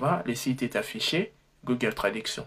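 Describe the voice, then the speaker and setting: A man's somewhat breathy voice at a medium pitch and a fairly slow pace. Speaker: tech tutorial youtuber. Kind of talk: tutorial. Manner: halting, frequent self-corrections.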